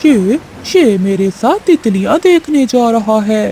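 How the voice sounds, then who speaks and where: A cartoonish character voice sounds female and fairly high in pitch. It moves at a fairly slow pace. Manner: sweet-talking then threatening.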